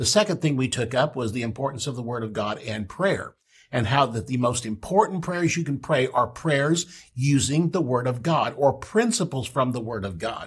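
Over a quiet background, a man talks with lively intonation. His voice is somewhat breathy. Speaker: pastor and Bible teacher; pastor, Bible teacher. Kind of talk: Bible teaching broadcast. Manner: fast. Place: studio.

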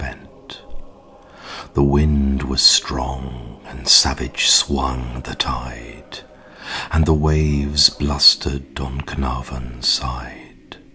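Against noticeable background noise, a man speaks at a very slow pace with a very deep, low pitch and fairly even intonation. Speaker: poetry reader. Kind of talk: poetry reading.

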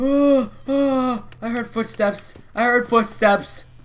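This is a man speaking. His voice is raised and projected. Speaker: gamer. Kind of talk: let's play commentary.

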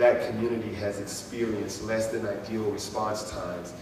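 With audible room echo and noticeable background noise, a man speaks in a fairly low pitch and a monotone, flat intonation. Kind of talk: public address to residents. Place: hall.

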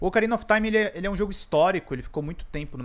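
This is a man talking. He speaks with a Brazilian accent. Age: 30s. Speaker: gaming YouTuber. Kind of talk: casual video monologue. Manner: halting, many fillers. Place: home room. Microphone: studio mic.

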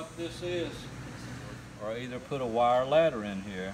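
Moderate pace amid noticeable background noise. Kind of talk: tutorial. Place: garage. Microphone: phone near.

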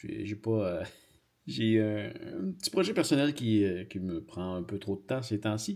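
With a Quebec accent, the speaker talks at a fairly slow pace against a quiet background. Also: man. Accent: Québécois French. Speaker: YouTuber. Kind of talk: casual vlog. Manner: halting. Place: studio.

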